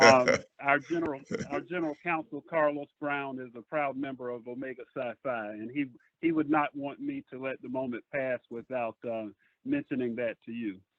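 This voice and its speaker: With a South Carolina accent, a man speaks at medium pitch and a moderate pace. His intonation stays fairly even. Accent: Southern US (South Carolina). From US South, Bishopville, South Carolina. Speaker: lawyer, audience member. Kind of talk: question-and-answer remarks. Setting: phone call. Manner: halting.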